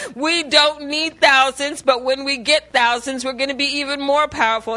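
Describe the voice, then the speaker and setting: A woman's high, raised, projected voice with ordinary pitch variation over noticeable background noise. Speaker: speaker sharing testimony. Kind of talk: testimony.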